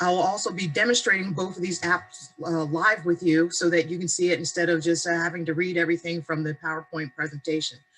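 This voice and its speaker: Someone speaks with an American accent over music in the background. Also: woman. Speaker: adult education teacher. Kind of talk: webinar presentation. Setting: video call. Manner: fast.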